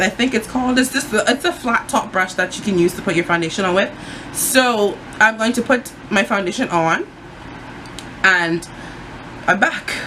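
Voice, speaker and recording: Over noticeable background noise, a woman with a fairly high pitch talks at a moderate pace with lively intonation and long, frequent pauses. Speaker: beauty vlogger. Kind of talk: tutorial. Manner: casual, lots of fillers.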